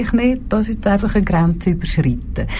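Noticeable background noise and audible room echo color a woman's moderately paced speech. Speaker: politician. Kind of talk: talk show interview. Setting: radio studio.

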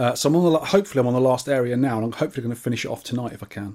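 A man speaks with a British accent and a dark, mellow tone. His pitch varies in an ordinary way, and the recording is very clean with a silent background. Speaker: podcast host. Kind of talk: casual chat. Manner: joking, chatty.

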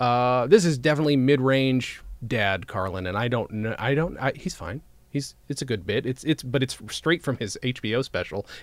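At a moderate pace, a man with an unremarkable speaking voice talks in a medium pitch with lively intonation. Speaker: podcast host. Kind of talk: casual chat. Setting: video call.

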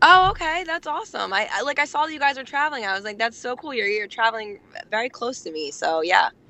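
In a New Jersey accent, a woman speaks very fast in a high voice with very wide pitch swings. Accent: New Jersey American. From New Jersey, near Atlantic City. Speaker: nonprofit founder and homelessness activist. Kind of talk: casual interview. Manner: hesitant, many fillers.

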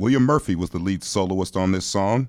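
At a moderate pace, a man speaks with a very deep, low voice and ordinary pitch variation. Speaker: community radio host. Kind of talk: radio interview. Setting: studio.

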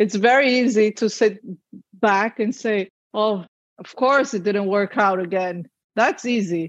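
At a fairly slow pace, a woman speaks in a fairly high, normal speaking voice with ordinary pitch variation and big swings in loudness. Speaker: IVF patient sharing her fertility story. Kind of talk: personal testimony in interview.

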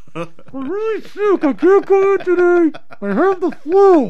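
Someone uses a put-on character voice at an extremely high pitch. The pace is fairly slow.

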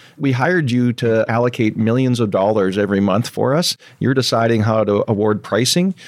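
In an unremarkable speaking voice, a man talks at a fairly quick pace with a Canadian accent and ordinary pitch variation. The sound is dry and close, with no echo. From southern British Columbia, Canada. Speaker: company CEO. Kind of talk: casual interview.

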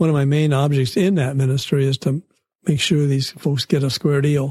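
Recorded with a dry, close sound and no echo, a man speaks in a somewhat breathy voice. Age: 70s. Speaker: church volunteer and lay missionary. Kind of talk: interview. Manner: halting, with frequent repetitions.

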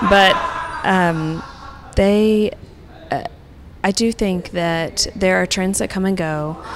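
A woman with an American accent speaks at a very slow pace, with fairly even intonation, a medium pitch, long and frequent pauses, and noticeable background noise. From Oklahoma, Tulsa. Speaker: interior designer. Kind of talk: casual interview. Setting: public park, outdoors.

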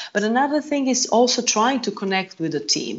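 A woman with a Croatian accent, fairly high-pitched, at a fairly quick pace. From Croatia, Zagreb. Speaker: yacht purser. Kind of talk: casual interview.

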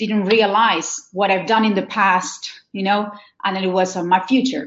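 With fairly even intonation, a woman talks at a fairly unhurried pace. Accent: Argentine. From Argentina. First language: Spanish. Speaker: wedding planner. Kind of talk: interview. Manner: halting.

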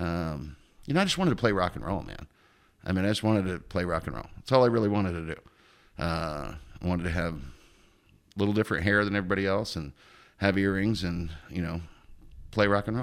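With an American accent, a man with a very deep, low pitch talks at a very fast pace, broken by long, frequent pauses, on a very clean recording with a silent background. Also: ordinary pitch variation. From Oregon, US. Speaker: car sales manager. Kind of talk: casual chat. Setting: home garage.

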